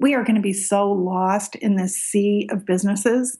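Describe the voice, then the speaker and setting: Somewhat breathy and fairly high in pitch, a woman talks with an American accent. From Michigan, US. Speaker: small business owner, art product maker. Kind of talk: casual interview.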